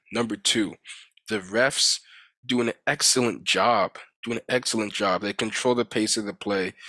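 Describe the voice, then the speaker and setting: Recorded very cleanly against a silent background, a man speaks at a medium pitch with a bright, sharp tone and fairly even intonation in a dry, close sound with no echo. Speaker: sports commentator. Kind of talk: sports commentary vlog. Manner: fast.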